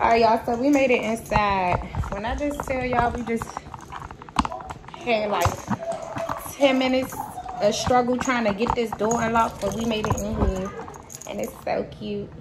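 A woman speaks at a moderate pace, taking long, frequent pauses over loud background noise. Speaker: family vlogger. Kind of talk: casual vlog chat. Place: home room. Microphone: phone near.

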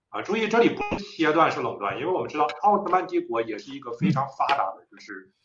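Over clear music in the background, a man with a high pitch talks at a very fast pace with hardly any pauses, very wide pitch swings, and big swings in loudness. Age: young. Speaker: young scholar, author; guest. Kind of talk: lecture-style discussion. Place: home room. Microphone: video call.

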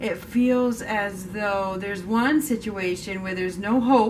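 A woman at a fairly slow pace over noticeable background noise. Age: 40s. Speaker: tarot reader. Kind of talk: tarot reading monologue. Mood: calm, gentle, reflective. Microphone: camera far.

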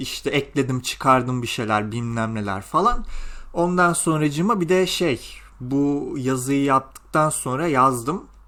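A man speaks with a fairly high pitch and a bright, sharp tone. His pace is fairly slow. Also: lively intonation. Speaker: gaming youtuber and graduate student. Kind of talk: casual vlog monologue. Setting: home recording at night, windows closed.

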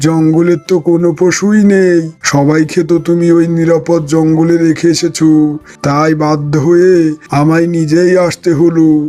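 A man does a cartoonish character voice at a fairly high pitch, fairly slow pace and monotone, flat intonation, with faint music in the background.

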